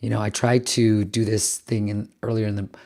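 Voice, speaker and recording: On a very clean recording with a silent background, a man with a fairly low pitch speaks at a fairly quick pace, somewhat breathy, with fairly even intonation. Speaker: business founder and video host. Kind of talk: vlog talk to camera. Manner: casual, conversational.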